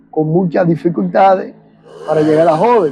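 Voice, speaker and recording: Music plays in the background as a man speaks. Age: 60s. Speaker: war veteran. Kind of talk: testimony.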